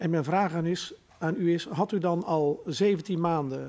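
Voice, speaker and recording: The tone is dark and mellow. The delivery comes at a very slow pace. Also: man. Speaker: member of parliament. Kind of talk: formal hearing questioning. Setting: parliamentary hearing room. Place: hall. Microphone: podium.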